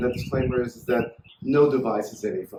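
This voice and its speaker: Pitched in the middle range, a man's voice proceeds at a medium tempo. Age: 60s. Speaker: inventor demonstrating his product. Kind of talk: product demonstration tutorial. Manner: enthusiastic, salesy.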